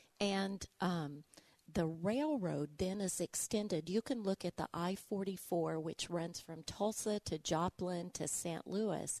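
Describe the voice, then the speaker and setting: A woman talks in an Arkansas accent at a very slow pace and fairly low pitch, with ordinary pitch variation. The sound is dry and close with no echo, over a quiet background. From Arkansas, Little Rock. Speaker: museum director and local historian. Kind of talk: interview, historical explanation.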